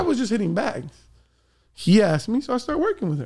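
Here a man speaks at a high pitch. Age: 30s. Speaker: boxing coach. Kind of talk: casual chat.

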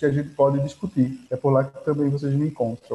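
This man has a fairly high pitch and a dark, mellow tone. His voice is somewhat breathy. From Pernambuco, Brazil (Agreste, São Vicente Ferrer). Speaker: historian and heritage researcher. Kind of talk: interview.

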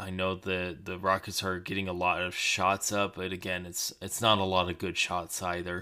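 On a very clean recording with a silent background, a man with a fairly low pitch and a bright, sharp tone talks at a moderate pace. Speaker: basketball podcaster. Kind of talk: solo sports podcast commentary. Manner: casual, hesitant with many fillers.

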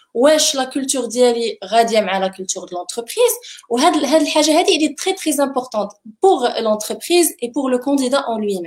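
Talking at a fairly quick pace, a woman uses a high pitch and lively intonation. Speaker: HR and engagement manager. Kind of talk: panel discussion giving interview advice.

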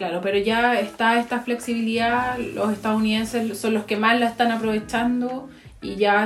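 A woman's fairly high, somewhat breathy voice holds fairly even intonation. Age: 30s. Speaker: podcast co-host. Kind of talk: casual chat.

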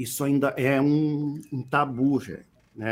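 At a very slow pace, a man speaks. His pitch sits in the medium range. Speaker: regional musician and singer-songwriter. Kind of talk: interview. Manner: halting, with frequent repetitions.

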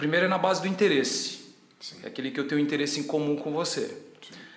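A man talks with normal rise and fall in pitch, his voice carrying audible room echo amid noticeable background noise. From Ceará, Brazil (Tianguá). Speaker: personal trainer and gym owner. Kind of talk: casual interview.

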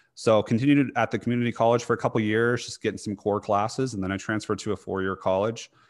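This man has a plain, everyday voice with fairly low pitch and ordinary pitch variation, recorded very cleanly against a silent background. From US, small town. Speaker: dietitian and fitness coach. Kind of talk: casual interview.

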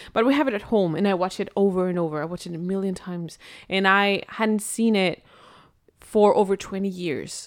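On a very clean recording with a silent background, a woman with a Spanish accent talks at a moderate pace and a medium pitch with ordinary pitch variation. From Spain. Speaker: podcast co-host. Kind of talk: casual chat.

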